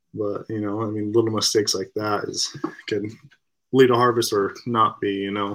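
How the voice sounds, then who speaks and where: With an American accent, a man talks at a moderate pace in a fairly low pitch, his intonation flat and monotone. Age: 20s. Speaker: hunting guide. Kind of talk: casual chat.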